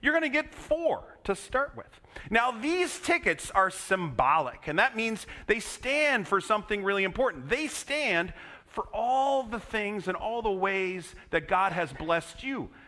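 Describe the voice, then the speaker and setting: A man raises and projects his high-pitched voice, swinging very widely in pitch at a fairly slow pace. Noticeable background noise runs underneath. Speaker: pastor. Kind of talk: children's sermon. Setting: church.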